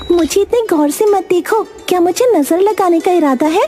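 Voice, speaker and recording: Clear music plays in the background. A female-sounding cartoonish character voice comes through at an extremely high pitch. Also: moderate pace. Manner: playful, teasing.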